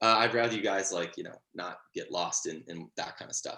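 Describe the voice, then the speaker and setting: Speaking at a fairly quick pace, a man uses a medium pitch and a bright, sharp tone. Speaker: church member sharing faith journey. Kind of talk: prepared talk read from script. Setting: video call.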